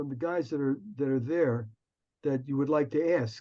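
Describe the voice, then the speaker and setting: A man with a New Jersey accent speaks in a fairly high voice. His tone is dark and mellow. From US, Newark, New Jersey. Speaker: music arranger and producer. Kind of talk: casual Q&A chat. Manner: halting with repetitions.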